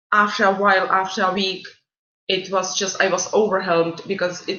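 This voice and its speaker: A woman talks in a monotone, flat intonation with a non-native accent, her pitch medium. The room echo is audible. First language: not English. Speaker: student mentor. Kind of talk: orientation talk. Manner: halting.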